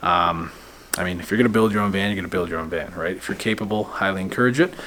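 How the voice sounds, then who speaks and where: Over noticeable background noise, a man with a Canadian accent speaks with lively intonation. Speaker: van conversion shop owner, vlogger. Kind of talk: casual vlog talk to camera. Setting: van conversion shop. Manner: casual with many fillers.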